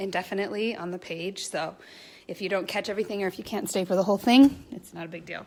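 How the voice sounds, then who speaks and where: At a very fast pace, a woman speaks at medium pitch with ordinary pitch variation and big swings in loudness. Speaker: spiritual coach leading a meditation. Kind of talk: guided meditation; casual livestream chat. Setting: live video stream on social media.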